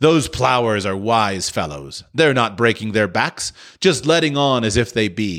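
The intonation rises and falls in a lively way. The reading aloud is in a natural voice.

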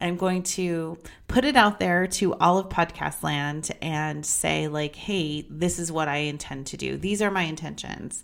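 In an American accent, the speaker goes at a fairly slow pace with ordinary pitch variation and hardly any pauses. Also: woman, fairly low pitch for a woman. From Las Vegas, Nevada, US. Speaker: podcast host. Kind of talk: personal monologue. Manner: casual, rambling with fillers.

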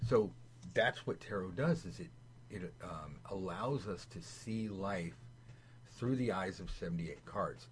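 Fairly low-pitched male voice with vocal fry, very wide pitch swings, a fairly slow pace and long, frequent pauses. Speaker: tarot teacher. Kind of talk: tutorial. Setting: video call. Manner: animated.

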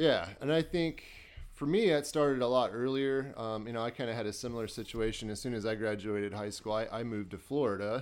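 A speaker with an American accent talks at a fairly quick pace in a very clean recording with a silent background. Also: man, medium pitch for a man, ordinary pitch variation. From Iowa, US Midwest. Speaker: host's boyfriend. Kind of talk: casual chat.

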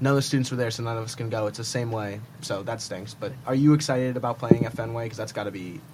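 A man's very fast delivery with hardly any pauses, fairly even intonation and big swings in loudness, over noticeable background noise. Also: medium pitch for a man. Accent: American. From Manhattan, New York. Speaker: student podcast co-host. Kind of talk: casual chat.

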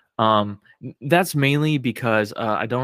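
He has a normal speaking voice. This man's delivery moves at a moderate pace, and his pitch variation is ordinary. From Oklahoma, small town. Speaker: podcast guest, film fan. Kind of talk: casual chat.

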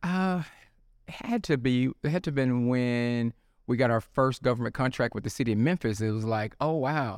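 Heard on a very clean recording with a silent background, a man speaks in a Southern US accent with ordinary pitch variation. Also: medium pitch for a man, moderate pace. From Mississippi (Tupelo). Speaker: drug testing business owner. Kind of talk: interview.

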